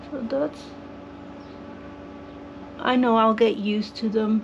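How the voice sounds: A woman speaks slowly at a fairly high pitch with vocal fry. Her intonation is fairly even, with faint background noise.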